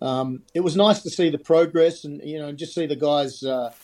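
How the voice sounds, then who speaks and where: With an Australian accent, a man speaks in a dark, mellow tone, his pitch varying in an ordinary way. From Australia (Sydney), born in Scotland. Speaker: ice hockey coach. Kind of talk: interview.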